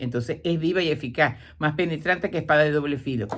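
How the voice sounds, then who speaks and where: A woman with a very deep, low pitch talks at a fairly quick pace in an animated tone. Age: 70s. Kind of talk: radio talk on faith. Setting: radio program.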